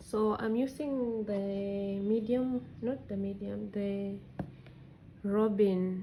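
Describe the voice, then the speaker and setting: Her tone is dark and mellow, somewhat breathy. The woman speaks at medium pitch with fairly even intonation. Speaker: crochet tutorial creator. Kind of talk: tutorial. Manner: casual, conversational.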